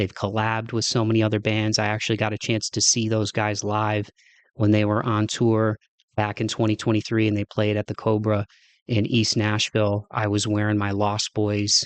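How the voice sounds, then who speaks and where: Against a quiet background, a man with a Midwestern accent speaks at a moderate pace and fairly low pitch in a monotone, flat intonation. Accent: Midwest. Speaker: podcast host. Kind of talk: casual monologue. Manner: halting, many fillers.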